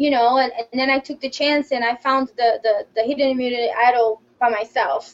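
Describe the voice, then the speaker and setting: At a moderate pace, a woman speaks in a high pitch with monotone, flat intonation. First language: not English. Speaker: former reality show contestant. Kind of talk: casual interview.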